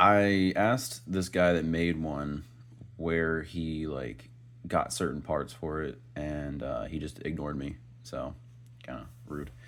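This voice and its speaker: A man's very deep, low voice at a very slow pace, ordinary pitch variation, audible room echo. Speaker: toy reviewer. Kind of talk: unboxing review. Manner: casual, filler-heavy.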